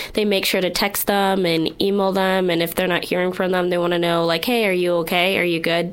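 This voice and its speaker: In an American accent, the speaker goes at a fairly quick pace with hardly any pauses, monotone, flat intonation and very even loudness, amid audible room echo and noticeable background noise. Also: woman, medium pitch for a woman. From Ohio. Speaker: university student, former foster youth. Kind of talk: recorded testimony.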